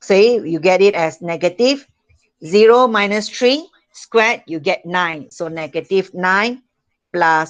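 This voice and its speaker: Speaking very slowly, a woman uses lively intonation at a medium pitch. She has a Malaysian accent. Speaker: school math teacher. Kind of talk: online class lesson. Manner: slow, repetitive.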